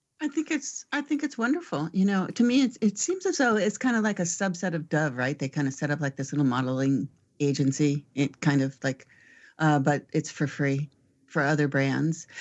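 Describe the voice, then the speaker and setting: A woman's very deep, low voice, with lively intonation at a moderate pace. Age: 60s. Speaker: marketing panelist. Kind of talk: panel discussion podcast.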